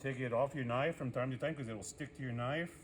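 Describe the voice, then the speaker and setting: This man's voice is somewhat breathy and sits at a medium pitch. His pitch varies in an ordinary way. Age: 60s. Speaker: culinary instructor. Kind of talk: tutorial. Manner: casual, conversational.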